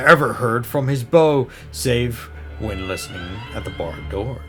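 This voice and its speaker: A man at a medium pitch and moderate pace, his voice swinging very widely in pitch, with music in the background. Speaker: storyteller. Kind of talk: horror story reading.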